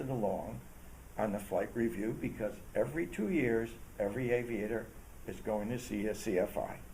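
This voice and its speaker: The tone is dark and mellow, with vocal fry throughout. Pitch varies in an ordinary way, and the pace is moderate. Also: man. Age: 70s. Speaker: retired general aviation pilot; aviation safety advocate. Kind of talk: interview answer.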